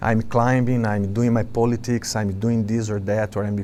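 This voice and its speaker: A man with a Brazilian accent, medium in pitch, dark and mellow in tone, with ordinary pitch variation. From Brazil, Sao Paulo. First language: Portuguese. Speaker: monk and spiritual teacher. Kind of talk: spiritual talk to a gathering. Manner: halting, with fillers.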